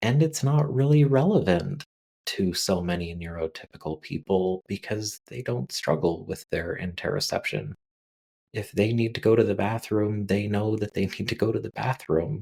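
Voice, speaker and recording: A soft-spoken man with a fairly low pitch talks at a fairly slow pace in a calm tone with lively intonation, his voice dry and close with no echo. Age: 30s or older. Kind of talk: calm informal monologue. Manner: slow, calm pace.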